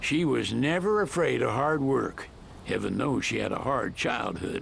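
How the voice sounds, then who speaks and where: A man uses a put-on character voice, drawling at a moderate pace. Clear background noise can be heard. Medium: video game. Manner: folksy, drawling.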